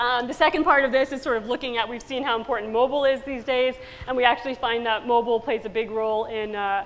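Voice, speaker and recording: A woman talks at a very fast pace. Her voice is high, with fairly even intonation. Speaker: business school professor. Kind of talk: conference talk.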